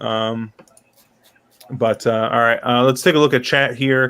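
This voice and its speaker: A man's medium-pitched voice at a moderate pace. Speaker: horse racing podcast host. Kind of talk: casual panel chat.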